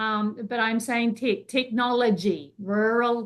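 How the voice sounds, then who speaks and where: Her pace is very slow. The woman's intonation stays fairly even. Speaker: webinar host and university teacher. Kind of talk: webinar introduction of panelists. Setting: online webinar. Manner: halting, many fillers and restarts.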